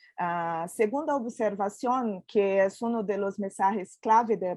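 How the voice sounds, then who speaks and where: A woman with a Portuguese accent speaks at a fairly slow pace in a medium-pitched voice with a dark, mellow tone, recorded dry and close with no echo against a quiet background. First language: Portuguese (speaking Spanish). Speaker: panel expert on biodiversity education. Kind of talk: panel discussion presentation. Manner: hesitant, many fillers.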